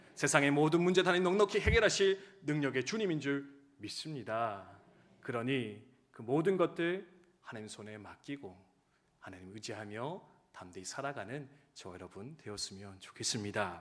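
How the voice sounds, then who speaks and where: Here a man talks at a fairly high pitch with very wide pitch swings. His loudness also swings widely. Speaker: pastor. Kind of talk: sermon. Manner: fast.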